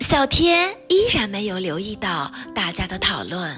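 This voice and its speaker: A woman speaks in a gentle, playful tone at a very slow pace. Music plays in the background. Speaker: storyteller. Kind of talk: children's bedtime story reading.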